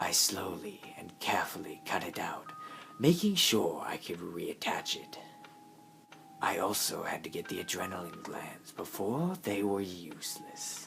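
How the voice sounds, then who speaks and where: Whispering at a moderate pace, a man speaks in a calm, menacing tone. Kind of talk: creepypasta horror narration. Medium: read story.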